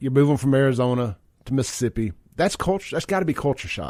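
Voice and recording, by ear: This man talks fast with a medium pitch and lively intonation. His tone is slightly mellow.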